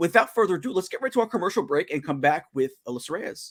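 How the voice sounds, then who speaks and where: Fairly quick speech from a man, with very wide pitch swings. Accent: strong New York. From New York. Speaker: talk show host. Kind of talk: casual chat. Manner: halting, many fillers and repeats.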